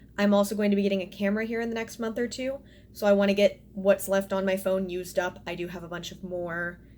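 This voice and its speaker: A woman talks at a very fast pace with fairly even intonation. Noticeable background noise runs behind her. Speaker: sewing vlogger. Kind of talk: casual vlog talk.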